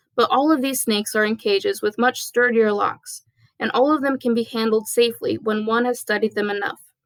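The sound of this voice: An unforced reading voice with ordinary pitch variation, over a quiet background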